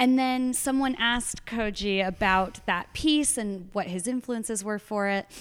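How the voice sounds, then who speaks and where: A plain, everyday voice from a woman with an American accent, fairly high in pitch with ordinary variation, at a fairly slow pace with hardly any pauses. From Arizona. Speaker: poet. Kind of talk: casual chat. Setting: library at an artist residency.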